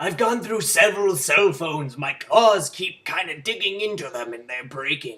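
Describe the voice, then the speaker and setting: The voice is a put-on character voice. Its pitch sits in the middle. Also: moderate pace. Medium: solo performance. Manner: formal, measured.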